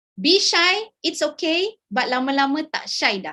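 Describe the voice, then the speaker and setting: Speaking with a Malaysian accent, a woman uses a raised, projected voice with a bright, sharp tone and lively intonation at a very slow pace. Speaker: academic researcher, invited speaker. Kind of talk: webinar talk. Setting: video call.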